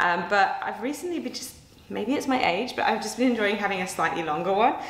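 There is audible room echo in this recording. The voice belongs to a woman. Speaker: fitness coach. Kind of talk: casual vlog chat. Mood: cheerful, chatty. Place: home room.

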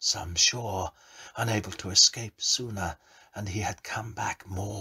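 This is plain reading aloud. Nothing more stands out.

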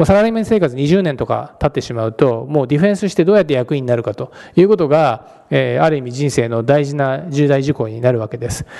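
A man's fairly high voice, dark and mellow in tone, racing at a very fast pace with lively intonation and hardly any pauses over a quiet background. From Japan. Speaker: venture capitalist; guest. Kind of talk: lecture. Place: hall.

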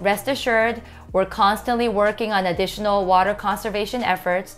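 Faint music plays in the background. A woman talks at a moderate pace with ordinary pitch variation. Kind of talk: informational explainer. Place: office. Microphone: lapel.

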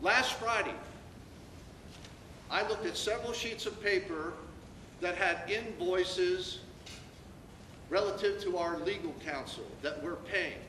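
A man with a high voice speaks in a raised, projected voice at a fairly slow pace with ordinary pitch variation. Long pauses come often, amid audible room echo and noticeable background noise. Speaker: acting school superintendent. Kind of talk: public forum Q&A. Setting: public meeting room with audience. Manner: loud; animated.

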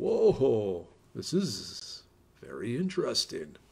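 Using a put-on character voice, a man speaks. His pace is very slow.

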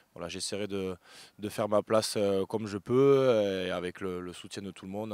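Recorded very cleanly against a silent background, a man with a fairly low pitch speaks at a fairly quick pace with fairly even intonation. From southern France, Béziers. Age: 30s. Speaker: professional rugby player. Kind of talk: interview. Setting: outdoors at stadium. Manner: halting, many fillers.

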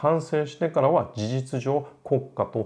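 His intonation lively, a man speaks in a dark, mellow tone. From Japan. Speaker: classical music educator, opera singer; classical music educator. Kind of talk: lecture; casual chat. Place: home room.

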